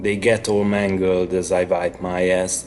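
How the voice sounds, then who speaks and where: The speaker has a Hungarian accent and talks at a very slow pace. Music plays in the background. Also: man. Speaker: author. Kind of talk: horror story reading.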